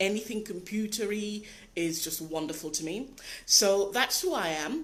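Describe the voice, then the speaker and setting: A woman at medium pitch with lively intonation and a moderate pace, audible room echo around her. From Britain. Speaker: life coach. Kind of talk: live video talk. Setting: live video broadcast.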